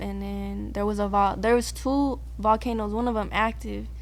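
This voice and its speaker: A woman with a Californian accent speaks at a fairly slow pace, with audible room echo around her voice. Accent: Californian urban American English. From San Diego, California. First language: Spanish. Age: young. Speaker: musician. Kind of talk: casual interview chat.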